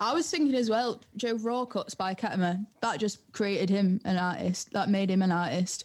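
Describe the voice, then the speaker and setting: A woman's somewhat breathy, medium-pitched voice with ordinary pitch variation, very even loudness, a moderate pace and hardly any pauses. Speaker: music producer and DJ. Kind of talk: casual podcast interview.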